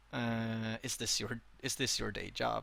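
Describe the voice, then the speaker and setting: The voice has a bright, sharp tone on a very clean recording with a silent background. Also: man. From Sweden. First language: Swedish. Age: 20s. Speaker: streamer and interviewer. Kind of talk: interview. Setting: live stream interview. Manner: halting.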